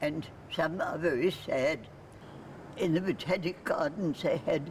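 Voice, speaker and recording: A woman talks at a fairly low pitch and a fairly slow pace. Noticeable background noise sits behind her. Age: 80s+. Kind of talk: pre-recorded keynote talk.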